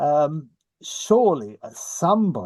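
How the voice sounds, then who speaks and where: Against a quiet background, a man with an English accent speaks in a dark, mellow tone. The sound is dry and close, with no echo. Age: 70s. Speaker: society historian and board member. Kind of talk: online Q&A discussion.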